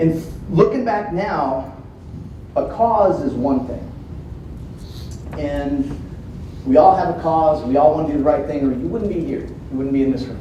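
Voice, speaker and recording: Speaking with an American accent at a moderate pace, a man with a fairly high voice uses lively intonation and long, frequent pauses, with noticeable background noise and audible room echo. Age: 40s. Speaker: police dog trainer. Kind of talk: keynote speech. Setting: conference stage with audience. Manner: animated.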